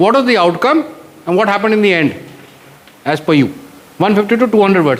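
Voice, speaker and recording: Against noticeable background noise, a man with a Marathi accent and a high pitch speaks at a very fast pace with long, frequent pauses, lively intonation and very even loudness. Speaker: retired air force officer, mentor. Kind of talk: motivational guidance talk to students. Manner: code-switches between English and Hindi.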